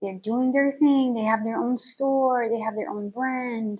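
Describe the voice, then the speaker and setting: A woman speaks with a somewhat breathy voice. Her pitch varies in an ordinary way. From Belgium. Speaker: vlogger. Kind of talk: personal vlog monologue. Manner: hesitant, many fillers.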